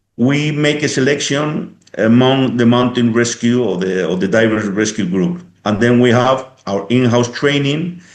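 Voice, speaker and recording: Audible room echo surrounds a man speaking at a moderate pace and medium pitch, with ordinary pitch variation. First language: Spanish or Basque. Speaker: police helicopter pilot and instructor. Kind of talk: interview. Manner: halting.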